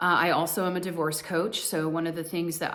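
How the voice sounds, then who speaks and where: A woman with an American accent, a very deep, low pitch, and monotone, flat intonation at a fairly quick pace, with audible room echo. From US, Colorado. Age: 40s. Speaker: divorce coach and spiritual vlogger. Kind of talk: personal monologue to camera. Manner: casual, with many fillers.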